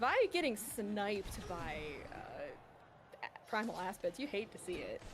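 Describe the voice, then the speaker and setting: A woman speaks at a fairly high pitch, lively in intonation and animated in tone. Background noise is noticeable. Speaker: speedrun race commentator. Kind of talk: live commentary. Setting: livestream. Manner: casual, animated.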